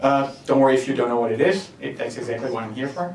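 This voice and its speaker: A man is speaking with audible room echo. Noticeable background noise is also present. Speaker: software developer giving a conference talk. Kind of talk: tech talk. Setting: meetup audience.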